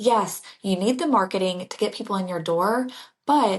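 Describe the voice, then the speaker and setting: A woman talks at a medium pitch. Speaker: leadership and business mentor. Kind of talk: podcast conversation. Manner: soft-spoken; not loud.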